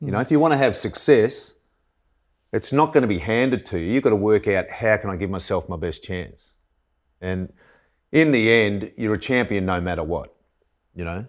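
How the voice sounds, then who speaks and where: With an Australian accent and a fairly low pitch, a man speaks with lively intonation and long, frequent pauses in a very clean recording with a silent background. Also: moderate pace. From country Victoria, Australia. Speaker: former footballer and fitness coach. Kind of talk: casual chat.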